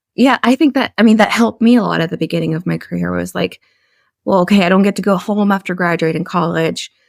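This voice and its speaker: Speaking at a very fast pace, a woman uses a fairly low pitch with vocal fry and lively intonation, recorded dry and close with no echo. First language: a European language, English learned as teen. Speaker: communications professional, podcast guest. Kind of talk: interview conversation.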